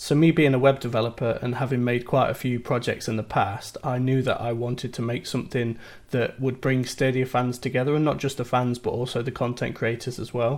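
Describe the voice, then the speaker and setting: In a British accent, a man talks at a fairly quick pace with hardly any pauses, his medium-pitched voice monotone and flat, on a very clean recording with a silent background. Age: 30s. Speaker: IT support worker and gaming community website creator. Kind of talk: interview. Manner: some hesitations (um, uh).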